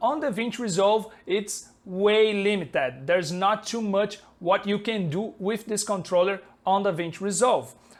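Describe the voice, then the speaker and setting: At a moderate pace, a man speaks in a high pitch with a Brazilian Portuguese accent. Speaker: software developer and colorist. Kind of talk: tutorial. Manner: halting, many fillers. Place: home room. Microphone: lapel.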